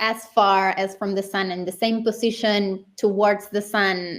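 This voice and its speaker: In a Spanish accent, a woman speaks at a medium pitch and a fairly slow pace. Her intonation stays fairly even. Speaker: interview host. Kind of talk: casual chat.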